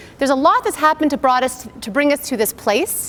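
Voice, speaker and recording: Loud and at a very fast pace, a woman speaks. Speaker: naturopathic doctor. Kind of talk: lecture.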